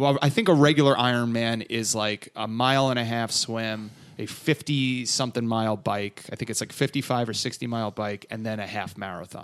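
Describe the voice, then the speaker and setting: In a very clean recording with a silent background, a man with an American accent and an unremarkable speaking voice talks at a fairly quick pace with hardly any pauses, a medium pitch, and fairly even intonation. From northern New Jersey. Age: 30s. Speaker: comedian and podcaster. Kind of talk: casual chat.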